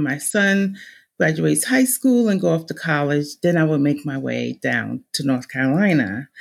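Speaking with a New Jersey accent and vocal fry, a woman talks at a fairly slow pace.

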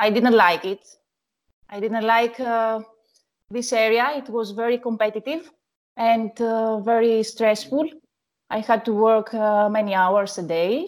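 In a Greek accent, a woman speaks at a fairly high pitch and a fairly slow pace, with long, frequent pauses. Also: ordinary pitch variation. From Greece, Athens. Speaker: wedding photographer. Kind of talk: interview. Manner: halting.

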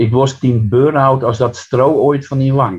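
A somewhat breathy male voice at a very slow pace. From Netherlands, Friesland near Harlingen. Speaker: poet. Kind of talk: interview and poetry reading.

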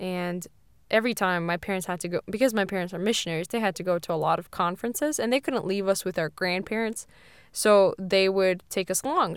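A woman with a normal speaking voice and an American accent, medium in pitch with ordinary pitch variation, at a fairly quick pace, on a very clean recording with a silent background. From Siberia, Russia (American family). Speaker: podcast co-host. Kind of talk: casual chat.

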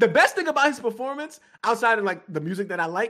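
An extremely high-pitched man's voice, bright and sharp in tone, with lively intonation. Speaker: guest co-host, gaming commentator. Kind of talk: casual chat. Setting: video call.

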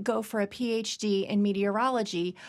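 Speaking at a fairly slow pace with an American accent, a woman has a plain, everyday voice at a medium pitch, on a very clean recording with a silent background. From Virginia, US. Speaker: university dean. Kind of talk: interview.

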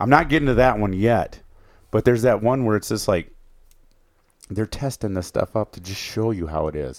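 A man with an Upper Midwest accent talks at a moderate pace in a fairly low voice. He leaves long, frequent pauses, and his loudness swings widely. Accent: Upper Midwest American. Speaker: outdoors podcast co-host. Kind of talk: casual chat.

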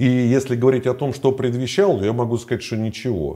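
Recorded very cleanly against a silent background, a man speaks at a moderate pace and medium pitch, his tone dark and mellow and somewhat breathy. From Moscow, Russia. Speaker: former prisoner and video blogger. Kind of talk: interview.

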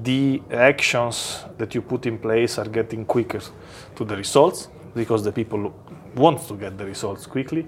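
A man with an Italian accent, medium pitch and ordinary pitch variation at a moderate pace, with noticeable background noise. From Italy. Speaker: company executive. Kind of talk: interview.

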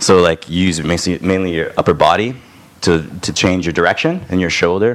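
Over noticeable background noise, a man with a Canadian accent talks in a very deep, low pitch. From Toronto, Canada. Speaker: musician. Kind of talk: casual chat. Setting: studio.

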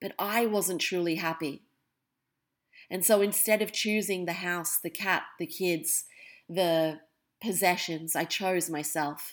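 On a very clean recording with a silent background, a woman speaks with an Australian accent at a fairly low pitch. She goes at a very slow pace with fairly even intonation and long, frequent pauses. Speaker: podcast host. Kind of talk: personal monologue.

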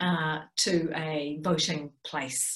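A woman talks with a New Zealand accent. Some room echo can be heard. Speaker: political science professor. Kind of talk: lecture.

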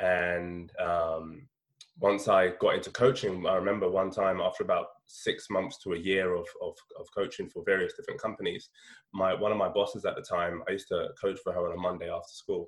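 At a fairly quick pace, this man speaks with a London accent. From London (north-west). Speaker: education business founder. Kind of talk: interview.

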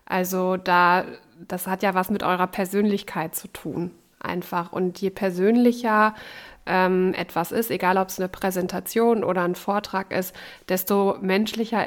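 Recorded very cleanly against a silent background, a woman with an ordinary speaking voice of medium pitch talks fairly slowly, with fairly even intonation and big swings in loudness. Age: 30s. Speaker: radio host and co-host. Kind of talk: casual chat.

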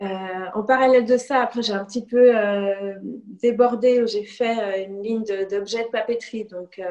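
Her fairly high-pitched voice moves at a fairly slow pace with monotone, flat intonation as the woman speaks. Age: 30s. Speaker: illustrator. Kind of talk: interview.

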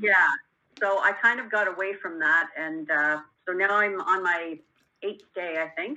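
In a bright, sharp tone, a woman talks at a fairly slow pace with medium pitch and ordinary pitch variation. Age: 60s. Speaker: caller, coaching student. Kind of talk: call-in coaching conversation. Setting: phone call.

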